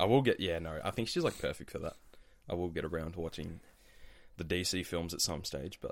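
Speaking with an Australian accent, a man uses a very deep, low pitch with ordinary variation and long, frequent pauses. The recording is very clean, with a silent background. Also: fairly quick pace. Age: 20s. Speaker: recent university graduate. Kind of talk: casual chat.

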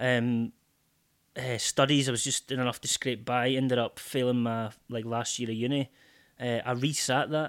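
A man in a Scottish accent speaks at a moderate pace and medium pitch, his intonation monotone and flat, in a dry, close sound with no echo. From Scotland, Port William near Stranraer. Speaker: sobriety coach. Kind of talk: casual chat.

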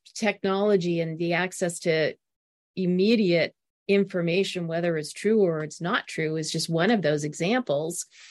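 This woman has an ordinary speaking voice, fairly low in pitch, with fairly even intonation at a moderate pace. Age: 60s. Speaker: author and organizational consultant. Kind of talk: interview conversation.

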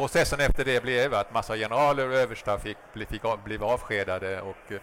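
A man talks fairly quickly, his medium pitch showing ordinary variation. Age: 60s. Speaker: former diplomat and whistleblower. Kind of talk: interview. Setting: live at a trade fair.

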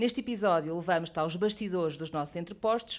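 A woman at a medium pitch talks very fast, her pitch varying in an ordinary way. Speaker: podcast presenter. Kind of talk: scripted narration.

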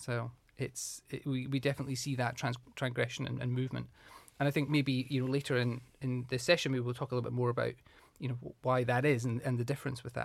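On a very clean recording with a silent background, a man with a Scottish accent speaks at a very fast pace in a monotone, flat intonation. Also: medium pitch for a man. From southwest Scotland, small rural town. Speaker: hotel HR director. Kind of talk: interview.

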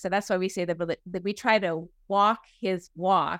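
On a very clean recording with a silent background and a dry, close sound with no echo, a woman with a fairly low pitch and vocal fry speaks at a moderate pace in a monotone, flat way. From New England (Boston area). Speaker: minister. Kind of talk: interview conversation.

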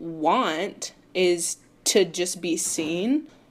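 Her voice sits fairly low. The woman speaks with an American accent. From Charlotte, North Carolina. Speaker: student activist. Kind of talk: interview. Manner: casual, filler-heavy.

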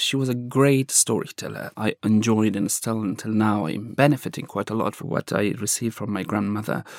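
Speaking in an Afghan accent, a man talks at a fairly quick pace with hardly any pauses, at a medium pitch with ordinary pitch variation. The recording is very clean, with a silent background. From Afghanistan. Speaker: journalist. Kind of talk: interview conversation, storytelling. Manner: halting, searching for words.

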